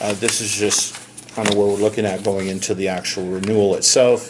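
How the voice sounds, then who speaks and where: A fairly low-pitched male voice at a moderate pace, with noticeable background noise. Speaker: insurance benefits consultant. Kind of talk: business presentation.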